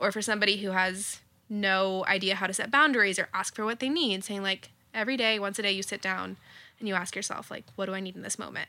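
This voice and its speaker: Speaking very fast, a woman has a medium pitch, a bright, sharp tone and fairly even intonation. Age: 20s. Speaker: energy worker and coach. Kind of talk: guided meditation; casual chat. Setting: living room.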